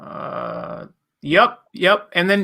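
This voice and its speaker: Speech comes at a fairly slow pace on a very clean recording with a silent background. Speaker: t-shirt business owner and ecommerce coach. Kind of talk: interview.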